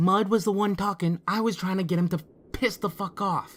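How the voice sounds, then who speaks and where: A raspy, put-on character voice speaks at a middle pitch and a moderate pace. The recording is very clean, with a silent background. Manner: gruff, impatient.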